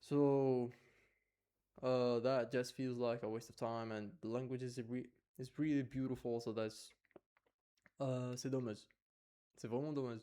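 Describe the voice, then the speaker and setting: With an Arabic accent, a man speaks at a fairly slow pace and a medium pitch, his dark, mellow tone delivered in a monotone, flat intonation with long, frequent pauses. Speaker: vlogger. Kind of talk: personal vlog monologue. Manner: halting, many fillers and restarts.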